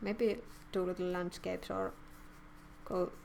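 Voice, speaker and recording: A woman speaks with a non-native accent at a fairly slow pace. Her intonation stays fairly even. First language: not English. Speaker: artist streamer. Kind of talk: live stream chat while drawing. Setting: live stream. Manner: halting.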